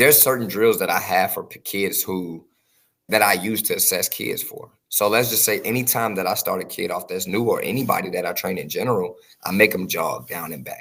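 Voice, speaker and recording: Speaking at a fairly quick pace with an American accent, a man lets his loudness swing widely. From Chicago, US Midwest. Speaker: speed and agility trainer. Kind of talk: podcast interview. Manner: fast.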